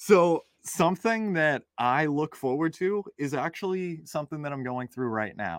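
Speaking at a moderate pace with hardly any pauses, a man uses a normal speaking voice with lively intonation and a fairly high pitch. The recording is very clean with a silent background, and the sound is dry and close with no echo. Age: 20s. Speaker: real estate investor. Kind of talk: interview.

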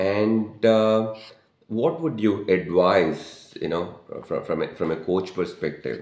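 Speaking at a very slow pace, this man has a fairly low pitch and lively intonation, with audible room echo around him. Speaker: podcast host and life coach. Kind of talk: casual interview.

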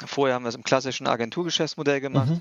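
A man has a normal speaking voice. It is fairly high in pitch, with ordinary pitch variation. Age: 40s. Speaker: startup founder. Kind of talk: casual interview.

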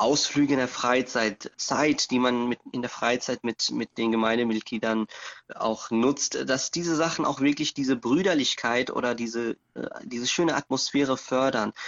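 At a fairly slow pace, an unremarkable speaking voice carries ordinary pitch variation. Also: man. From Germany. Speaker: imam. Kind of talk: interview.

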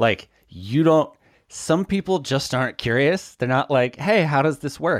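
A normal speaking voice. It moves at a fairly slow pace. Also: man, fairly high pitch for a man. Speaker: podcast host. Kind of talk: casual chat.

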